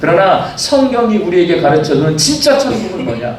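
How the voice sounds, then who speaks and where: Man at a moderate pace with very wide pitch swings, audible room echo, and noticeable background noise. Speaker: senior pastor. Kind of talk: sermon. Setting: church.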